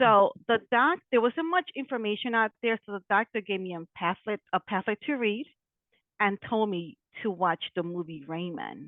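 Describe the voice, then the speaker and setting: A woman with an American accent, a normal speaking voice, fairly high pitch, lively intonation and a moderate pace. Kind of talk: interview.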